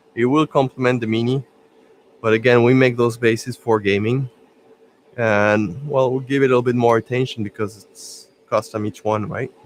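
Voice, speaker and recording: With a French accent and medium pitch, a man speaks at a moderate pace, leaving long, frequent pauses. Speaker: miniature painting streamer. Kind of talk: live stream tutorial. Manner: casual, halting with fillers.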